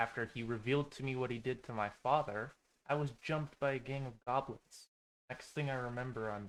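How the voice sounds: A natural reading voice over a quiet background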